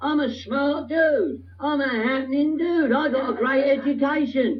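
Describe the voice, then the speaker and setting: In a London accent, a man talks at a moderate pace with an extremely high pitch, and audible room echo surrounds his voice. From England, northwest London. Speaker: recovery speaker. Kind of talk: recovery talk to a meeting audience. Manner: animated.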